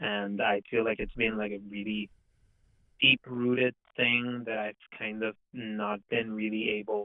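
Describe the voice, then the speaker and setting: A man with a non-native accent, a fairly low pitch, monotone, flat intonation and a fairly slow pace. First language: not English. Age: 20s. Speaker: caller. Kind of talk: personal testimony. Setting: phone call. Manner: halting, many fillers and repetitions.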